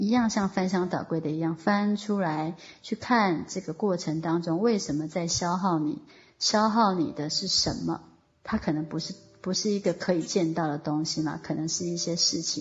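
At a moderate pace, a woman speaks with a fairly low, somewhat breathy voice and ordinary pitch variation. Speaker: online course teacher. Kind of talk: online lecture. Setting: online voice class.

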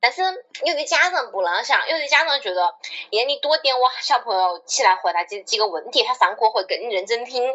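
A high-pitched woman with a Wuhan accent, fairly quick, very wide pitch swings, noticeable background noise. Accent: Wuhan-accented Mandarin. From China, Wuhan. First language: Wuhan dialect (speaking Chinese). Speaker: podcast co-host. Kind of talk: casual chat.

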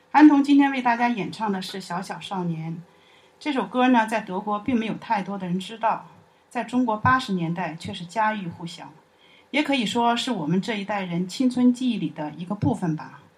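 A woman's somewhat breathy voice at a medium pitch, moderate in pace, with lively intonation and big swings in loudness. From Chongqing, China. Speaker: university alumna and parent. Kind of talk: personal testimony.

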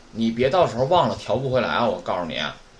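A medium-pitched man with lively intonation amid noticeable background noise. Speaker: Japanese language teacher. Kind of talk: lecture. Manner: casual, filler-heavy.

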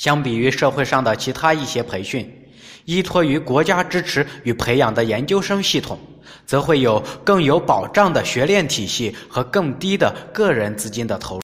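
This man's pitch is fairly high. His voice swings very widely in pitch. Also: moderate pace. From rural China. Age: 30s. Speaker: podcast narrator. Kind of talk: scripted narration.

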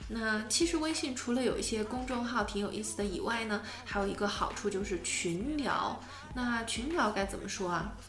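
With a Chinese accent, a woman talks at a fairly quick pace in a fairly high pitch, noticeable background noise behind her. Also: lively intonation. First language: Mandarin Chinese. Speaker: podcast host teaching English. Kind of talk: casual bilingual language-lesson chat.

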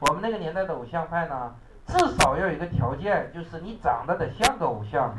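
The voice has an animated tone and very wide pitch swings at a fairly quick pace. Noticeable background noise and audible room echo surround it. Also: man, high pitch for a man. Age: 30s. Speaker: English exam teacher. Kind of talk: classroom lecture.

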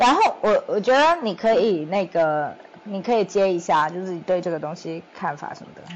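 A woman at a medium pitch speaks at a moderate pace with ordinary pitch variation and big swings in loudness, amid noticeable background noise. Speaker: podcast co-host, startup founder. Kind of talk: casual chat.

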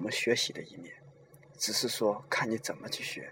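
Noticeable background noise fills the recording. The man's speech moves fairly slowly. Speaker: podcast host. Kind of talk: monologue talk. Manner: slower than his usual speech.

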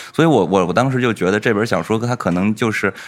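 With noticeable background noise in the mix, the speaker goes at a very fast pace. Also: man. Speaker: podcast host. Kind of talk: casual chat.

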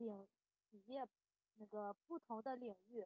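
A woman's fairly high-pitched voice. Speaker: exam candidate student. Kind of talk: mock interview answer. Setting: online voice chat. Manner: halting, many fillers.

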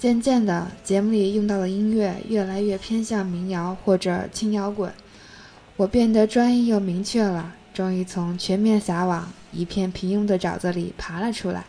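This woman has a dark, mellow tone and a medium pitch. She talks at a moderate pace with fairly even intonation. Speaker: solo podcast host. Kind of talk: scripted narration. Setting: home desk at night.

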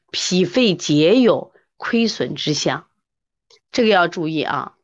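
Against a quiet background, a woman's animated voice shows vocal fry and very wide pitch swings. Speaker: traditional Chinese medicine teacher. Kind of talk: online lecture with live chat.

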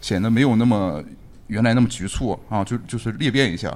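A man speaks at a fairly quick pace in an unremarkable speaking voice, pitched in the medium range. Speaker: architecture scholar. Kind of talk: casual chat. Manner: joking.

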